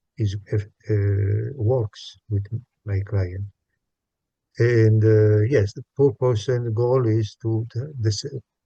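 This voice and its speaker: Speaking very slowly with long, frequent pauses, a man with a non-native accent uses a fairly low, somewhat breathy voice, dark and mellow in tone, with fairly even intonation. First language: not English. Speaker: psychologist, workshop participant. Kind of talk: group discussion. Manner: halting, many hesitations.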